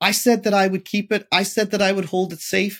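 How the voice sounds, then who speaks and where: Speaking at a moderate pace, a man has a Northern Irish accent. The sound is dry and close with no echo, on a very clean recording with a silent background. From Northern Ireland, Derry. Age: 30s. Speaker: technology entrepreneur. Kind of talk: interview.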